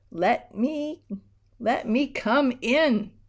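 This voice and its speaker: A woman performs a put-on character voice. It is squeaky and high in pitch. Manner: pleading, wheedling.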